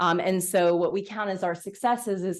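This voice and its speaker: In an unremarkable speaking voice, a woman talks at a moderate pace with fairly even intonation. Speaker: physician researcher. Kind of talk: lecture. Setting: seminar room with live audience and Zoom.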